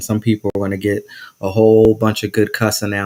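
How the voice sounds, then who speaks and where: Monotone and flat in intonation, a man with an American accent speaks fairly quickly in a fairly low pitch. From New Jersey. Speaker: podcast host. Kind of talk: casual interview chat. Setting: live stream.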